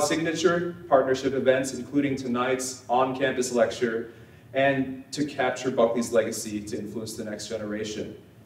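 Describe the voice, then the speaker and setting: A man at medium pitch talks at a moderate pace with fairly even intonation and big swings in loudness, with audible room echo and noticeable background noise. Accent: American. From Nevada, Las Vegas. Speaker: think tank representative introducing speaker. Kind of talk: speaker introduction.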